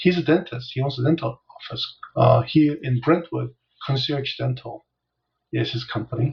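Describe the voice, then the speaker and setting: There is vocal fry in this man's voice. He keeps a moderate pace with ordinary pitch variation. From South Korea, moved to Los Angeles at 9. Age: 60s. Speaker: business coach. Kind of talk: interview. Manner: gentle.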